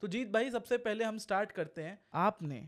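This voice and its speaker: Over a quiet background, a man talks at a fairly slow pace with lively intonation. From India. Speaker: podcast host. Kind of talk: casual interview. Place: studio. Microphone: studio mic.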